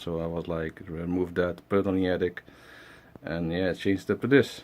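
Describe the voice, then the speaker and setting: Speaking with a non-native accent, a man talks at a moderate pace in a very deep, low pitch. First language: not English. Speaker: collector vlogger. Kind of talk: casual chat. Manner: halting, many fillers.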